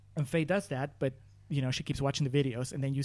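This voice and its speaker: Intonation stays fairly even in a plain, everyday voice. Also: man. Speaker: podcast guest. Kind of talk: casual chat.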